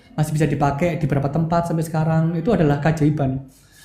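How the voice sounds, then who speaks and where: A man's voice with audible room echo. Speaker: university biology department head, lecturer. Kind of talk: casual interview podcast.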